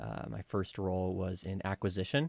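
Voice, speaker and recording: The speaker has an American accent. The recording is very clean with a silent background and a dry, close sound with no echo. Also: man. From New Jersey. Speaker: founder of an urban exploration tour club. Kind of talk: interview. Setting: studio. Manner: hesitant, many fillers.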